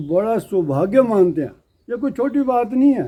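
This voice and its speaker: Very wide pitch swings mark this man's speech, carried in a dark, mellow tone. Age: 70s. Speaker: local host family elder speaking at religious event. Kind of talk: public speech to devotees.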